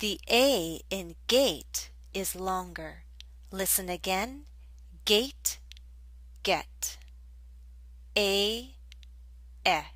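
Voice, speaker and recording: In a room with audible echo, a woman speaks at a very slow pace with long, frequent pauses. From US Northeast. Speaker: English pronunciation teacher. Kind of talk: tutorial. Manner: slow, clearly enunciated.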